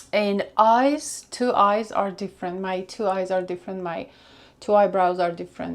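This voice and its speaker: In a Russian accent, a woman talks at a moderate pace and a medium pitch with ordinary pitch variation. The recording is very clean, with a silent background. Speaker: makeup vlogger. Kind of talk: makeup tutorial. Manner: casual, searching for words.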